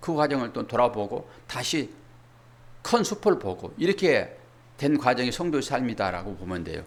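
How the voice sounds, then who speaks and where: The voice swings very widely in pitch and carries vocal fry, with audible echo from the room. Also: man, fairly high pitch for a man. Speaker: pastor. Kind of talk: sermon. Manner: fast when covering much material.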